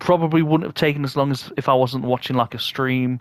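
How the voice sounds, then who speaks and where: In a British accent, a man talks at a fairly quick pace with monotone, flat intonation and a dry, close sound with no echo. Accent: UK. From UK. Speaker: gaming YouTuber. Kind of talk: gameplay tutorial commentary. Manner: halting, many repeated words and fillers.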